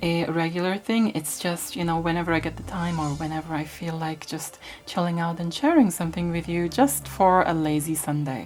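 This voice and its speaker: Using a plain, everyday voice, a woman with a fairly low pitch speaks at a moderate pace with ordinary pitch variation. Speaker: retro tech YouTuber. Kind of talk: ASMR magazine flip-through talk. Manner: relaxed, soft-spoken.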